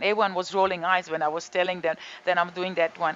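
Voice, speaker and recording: A woman speaks with a Croatian accent. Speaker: yoga and detox teacher. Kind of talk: casual talk to camera. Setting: home balcony studio.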